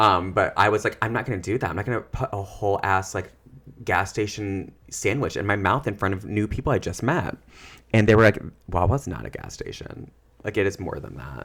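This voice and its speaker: Speaking at a fairly quick pace, a man with a fairly low pitch and ordinary pitch variation comes through in a very clean recording with a silent background. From US Midwest. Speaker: social worker and therapist, podcast co-host. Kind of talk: casual chat. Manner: animated.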